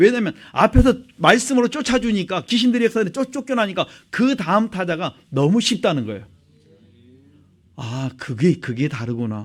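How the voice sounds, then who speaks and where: A man speaks in a high voice that moves through very wide pitch swings. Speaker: pastor. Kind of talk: sermon. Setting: church. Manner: fast.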